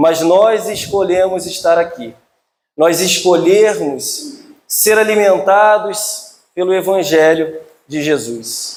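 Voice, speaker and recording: A man's high-pitched voice with a Rio de Janeiro accent, ordinary pitch variation and audible room echo. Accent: carioca (Rio de Janeiro). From Rio de Janeiro, Brazil. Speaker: spiritist lecturer. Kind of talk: religious lecture. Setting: hall with audience. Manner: loud.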